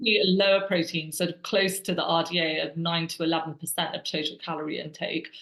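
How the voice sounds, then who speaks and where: A woman's fairly quick speech with hardly any pauses over noticeable background noise. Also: fairly low pitch for a woman, fairly even intonation. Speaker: webinar moderator. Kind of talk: reading audience questions. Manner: fast.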